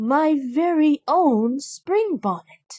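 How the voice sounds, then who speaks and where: Speaking high for a woman, she puts on a character voice. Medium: read story. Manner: gentle, warm.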